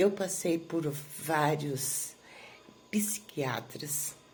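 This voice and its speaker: Over noticeable background noise, a woman with a very deep, low pitch speaks at a very slow pace with ordinary pitch variation. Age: 60s. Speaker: therapy client giving a testimonial. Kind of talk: testimony. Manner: halting, many filler pauses.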